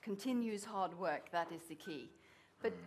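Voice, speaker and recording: At a moderate pace, a woman speaks with a Norwegian accent and ordinary pitch variation. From Norway. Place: hall.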